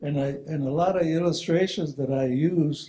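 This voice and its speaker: The voice is somewhat breathy, with a dark, mellow tone. Its intonation stays fairly even. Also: man. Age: 70s. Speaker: retired engineer and spiritual presenter. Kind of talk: presentation with storytelling. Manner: halting, repeating words.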